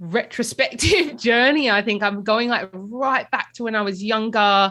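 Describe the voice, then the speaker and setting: In an Australian accent, a woman speaks at a medium pitch and moderate pace with a bright, sharp tone. Her pitch varies in an ordinary way, and the background is quiet. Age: young. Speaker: podcast host. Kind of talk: interview.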